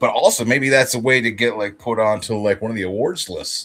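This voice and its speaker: A man speaks at a fairly quick pace with a New Jersey accent. His pitch is medium. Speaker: comic artist streamer. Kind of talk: casual chat. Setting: live stream.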